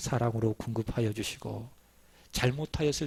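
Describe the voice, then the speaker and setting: A man's somewhat breathy voice at a fairly slow pace. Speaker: pastor. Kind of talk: sermon.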